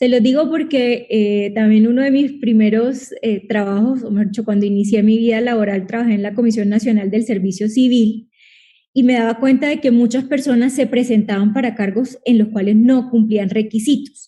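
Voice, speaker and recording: A woman with a Colombian Caribbean accent speaks in a dark, mellow tone. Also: fairly high pitch for a woman, moderate pace. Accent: Colombian Caribbean coastal Spanish. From Colombia, Caribbean coast. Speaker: lawyer and public-sector competition advisor. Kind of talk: online talk / Q&A webinar. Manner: animated.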